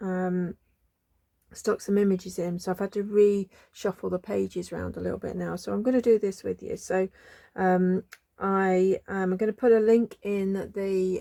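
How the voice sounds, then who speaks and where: A woman speaks at a fairly slow pace in a medium pitch, her tone dark and mellow. Her intonation stays flat and monotone, and the sound is dry and close with no echo. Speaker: craft channel host. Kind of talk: craft tutorial. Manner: hesitant, many ums.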